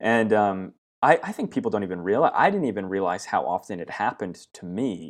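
A man with a Pacific Northwest accent talks at a fairly quick pace, his loudness swinging widely against a quiet background. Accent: American (Pacific Northwest). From US West, southern Oregon. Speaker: branding agency founder. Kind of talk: interview.

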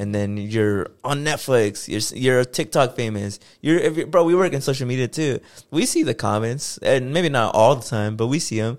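An unremarkable speaking voice from a man, medium pitch, ordinary pitch variation, moderate pace, very clean recording with a silent background. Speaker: podcast co-host. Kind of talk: casual chat.

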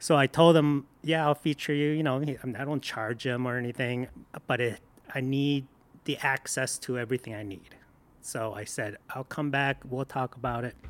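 A man speaks at a moderate pace and medium pitch, with fairly even intonation. He has a plain, everyday voice. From Michigan, born in Korea. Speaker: food blogger and photographer. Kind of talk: casual interview chat. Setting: studio.

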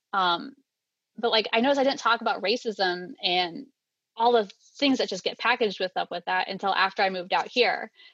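An ordinary speaking voice with an American accent talks at a fairly quick pace, recorded dry and close with no echo against a quiet background. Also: woman, medium pitch for a woman, ordinary pitch variation. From US Midwest. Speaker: stay-at-home mother. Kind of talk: panel conversation.

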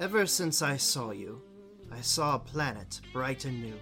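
Over clear music in the background, a man puts on a husky character voice at a medium pitch and a fairly slow pace. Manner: smooth, romantic poem reading.

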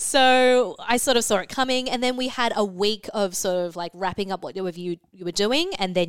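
On a very clean recording with a silent background, a woman with an Australian accent and a medium pitch speaks at a fairly quick pace with ordinary pitch variation. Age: 20s. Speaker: beauty editor. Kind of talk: casual chat.

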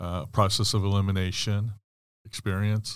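Against a very clean recording with a silent background, a man talks at a moderate pace in a plain, everyday voice. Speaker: podcast co-host, termite inspector. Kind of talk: casual interview. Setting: studio.

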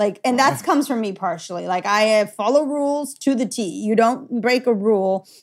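With a Californian accent, a woman talks at a fairly high pitch. Her intonation is lively, and she hardly pauses. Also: moderate pace, very clean recording, silent background. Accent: American, Californian. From Los Angeles, US. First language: Gujarati. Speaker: parent. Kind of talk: casual interview.

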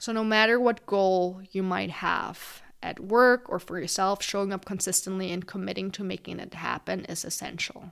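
A woman speaks at medium pitch with a non-native accent. Her pace is moderate, her intonation fairly even, and she hardly pauses at all. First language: not English. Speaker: podcast host. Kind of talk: solo podcast monologue.

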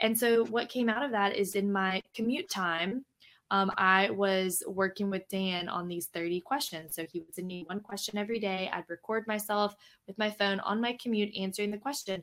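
In an American accent, the speaker keeps fairly even intonation at a moderate pace. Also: woman, medium pitch for a woman. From Louisiana, US South. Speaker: podcast co-host and organizational development consultant. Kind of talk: casual chat. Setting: live recording streamed on Facebook.

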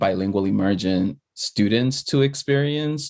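A man with an American accent, a plain, everyday voice, fairly low pitch and ordinary pitch variation at a fairly slow pace over a quiet background. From the Bronx, New York. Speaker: former school principal, nonprofit leader. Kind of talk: casual chat.

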